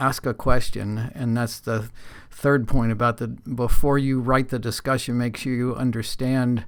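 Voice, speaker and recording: At a medium pitch, a man talks at a moderate pace in a monotone, flat intonation. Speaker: university instructor. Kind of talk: lecture. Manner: hesitant with fillers.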